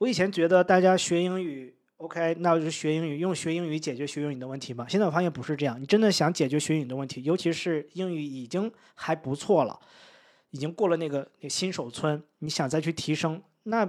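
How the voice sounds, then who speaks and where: Speaking at a fairly quick pace, a man uses a fairly high pitch and ordinary pitch variation. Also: very clean recording, silent background. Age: 30s. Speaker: English-teaching content creator. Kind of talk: casual interview. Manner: hesitant, many fillers.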